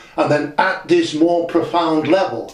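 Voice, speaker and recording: A man talks fairly slowly, and his voice carries audible room echo. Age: 60s. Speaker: channel owner discussing spiritual teachings. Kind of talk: audio diary monologue. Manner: reflective, halting with self-corrections.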